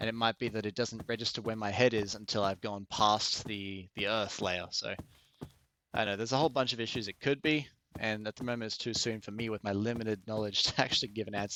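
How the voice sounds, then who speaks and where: In an Australian accent, a man with a fairly low pitch speaks very fast with fairly even intonation, the sound dry and close with no echo. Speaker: VR game streamer. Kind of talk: live gameplay commentary. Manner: casual, conversational.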